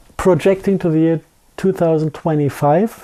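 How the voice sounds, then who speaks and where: A man's fairly high voice with a dark, mellow tone, a strong German accent and ordinary pitch variation. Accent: thick German. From Germany. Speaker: scientist giving lecture/interview. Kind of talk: interview. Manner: halting, with false starts.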